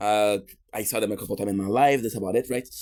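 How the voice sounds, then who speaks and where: Here a man talks with a Quebec accent. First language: French. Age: 30s. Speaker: streamer. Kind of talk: casual live stream chat. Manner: halting.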